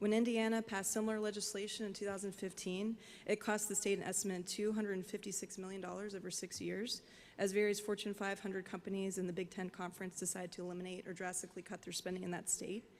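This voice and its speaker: In an American accent, a woman talks at a very fast pace with medium pitch. Her intonation is monotone and flat, on a very clean recording with a silent background. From West Virginia (Charleston). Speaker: business owner, former lawyer. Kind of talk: public hearing testimony. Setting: virtual public hearing.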